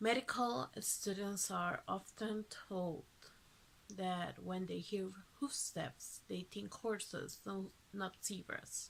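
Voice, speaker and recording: Ordinary pitch variation in a woman's very slow speech, pitched in the medium range. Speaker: vlogger. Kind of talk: personal testimony.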